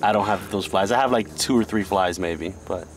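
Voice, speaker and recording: With an unremarkable speaking voice, a man talks at a moderate pace in a fairly low pitch with ordinary pitch variation, the sound dry with no echo and light background noise behind him. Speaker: guest. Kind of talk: casual vlog chat. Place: boat. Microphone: camera far.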